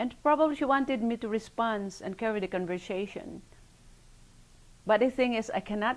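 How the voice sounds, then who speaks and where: A woman with a Filipino accent speaks at a fairly quick pace and medium pitch, with ordinary pitch variation, on a very clean recording with a silent background. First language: Filipino language. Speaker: oral history interviewee. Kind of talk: interview testimony.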